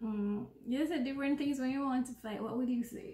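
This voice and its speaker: Recorded with audible room echo, a woman speaks at a high pitch with ordinary pitch variation. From Jamaica. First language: Jamaican Patois. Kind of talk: casual conversation to camera. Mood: playful, relaxed. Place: home room. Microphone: phone near.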